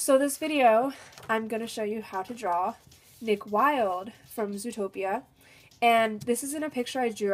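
Speaking at a moderate pace, a woman lets her pitch vary in an ordinary way. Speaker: art tutorial maker. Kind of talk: casual tutorial chat. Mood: cheerful, enthusiastic.

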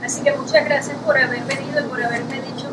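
A woman is talking. Loud background noise fills the recording. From Venezuela. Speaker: writer. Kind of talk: interview at a library event. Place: hall. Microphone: camera far.

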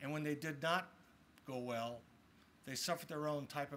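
A man speaks with ordinary pitch variation. Light background noise is present. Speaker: state legislator; speaker. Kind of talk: formal speech. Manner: reflective, formal. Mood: solemn, reflective. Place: open country. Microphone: podium.

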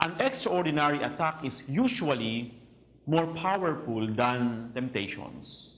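A man speaks at a fairly slow pace. His intonation is lively. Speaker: priest. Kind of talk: religious teaching talk. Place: home room. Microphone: lapel.

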